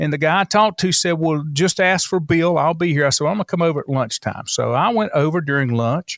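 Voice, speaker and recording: A man with a Southern US accent speaks at a fairly quick pace in a high voice, his intonation lively, the sound dry and close with no echo on a very clean recording with a silent background. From North Carolina, Lincoln County. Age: 60s. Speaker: radio station and newspaper owner. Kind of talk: casual interview.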